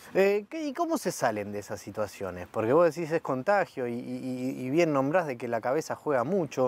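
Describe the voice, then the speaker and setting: In a dry sound with no echo, a man speaks with lively intonation. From Argentina. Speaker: club media interviewer. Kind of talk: interview. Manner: halting, many fillers and repetitions. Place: stadium.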